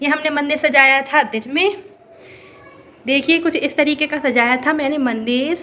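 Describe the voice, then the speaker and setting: A woman speaks in a raised, projected voice. Her pitch is high and her intonation fairly even. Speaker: vlogger. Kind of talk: casual vlog chat. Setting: at home. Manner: stumbling.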